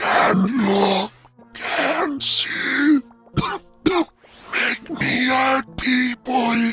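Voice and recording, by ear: In a put-on character voice, the speaker talks at a very slow pace with lively intonation, a bright, sharp tone and a husky, rough edge, while faint music plays in the background. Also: man, extremely high pitch for a man.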